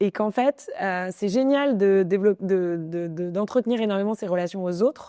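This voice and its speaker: A woman's medium-pitched voice at a moderate pace, with hardly any pauses, ordinary pitch variation, and a dry, close sound with no echo. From Paris, France. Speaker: entrepreneur. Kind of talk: interview. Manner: animated; many fillers and restarts.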